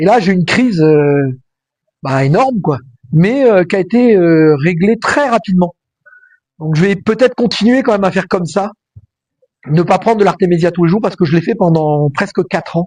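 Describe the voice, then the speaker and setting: A man's high-pitched voice with lively intonation, very even loudness, a moderate pace and long, frequent pauses. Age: 60s. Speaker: vlogger. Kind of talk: casual vlog monologue. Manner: hesitant, many fillers.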